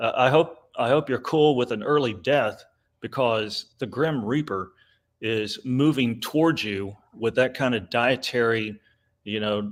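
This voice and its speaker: A man speaks at a fairly slow pace in a medium pitch, with ordinary pitch variation. The recording is very clean, with a silent background. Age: 60s. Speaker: conservative commentator and author. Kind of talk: casual chat. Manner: animated.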